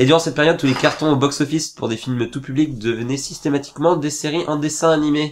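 A man with a fairly high pitch talks at a very fast pace, his intonation fairly even. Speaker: podcast host. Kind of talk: casual chat. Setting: studio.

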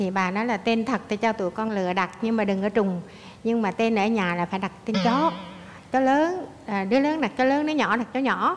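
Speaking at a fairly quick pace in a Southern Vietnamese accent, a woman has a fairly high pitch with ordinary pitch variation. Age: 60s. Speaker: daughter-in-law guest on a talk show; talk show guest. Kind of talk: casual chat. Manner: animated. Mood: warm, amused storytelling. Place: studio.

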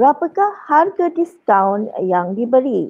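The voice makes very wide pitch swings. The background is quiet. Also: woman. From Johor, Malaysia. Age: 40s. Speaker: primary school maths teacher. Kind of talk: lecture. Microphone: webcam.

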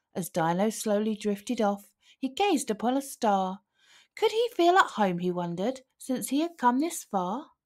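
A woman speaks at a fairly slow pace and a medium pitch, with big pitch swings. Her tone is slightly mellow.

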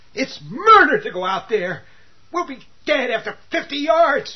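In a put-on character voice, the speaker whines in a high pitch with very wide swings, moving at a fairly slow pace. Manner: whining, sarcastic, panicky.

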